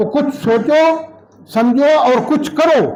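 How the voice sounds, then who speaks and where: Noticeable background noise and audible room echo surround a man speaking with ordinary pitch variation. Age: 60s. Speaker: local politician. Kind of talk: public speech at party meeting. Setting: party office meeting. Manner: forceful.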